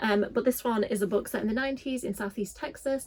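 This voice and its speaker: A woman talks at a very fast pace in a Yorkshire accent. Her voice is somewhat breathy, with ordinary pitch variation. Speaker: book youtuber. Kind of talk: casual vlog talk.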